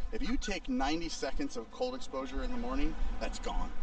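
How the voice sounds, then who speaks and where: This man's voice comes with noticeable background noise and audible room echo. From US Midwest, St. Louis. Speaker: breathwork instructor. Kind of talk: casual chat. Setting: outdoors.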